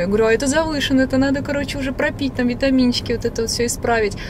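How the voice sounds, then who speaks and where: The speech comes at a very fast pace. The sound is dry with no echo, though background noise is noticeable. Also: woman. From Bryansk, Russia; Russia. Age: 20s. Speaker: vlogger. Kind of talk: casual chat. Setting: in a car. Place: car. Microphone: phone near.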